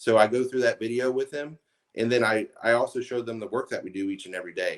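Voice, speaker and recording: Using fairly even intonation, a man with a medium pitch talks at a very fast pace. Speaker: roofing contractor. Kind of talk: interview. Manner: slurs words.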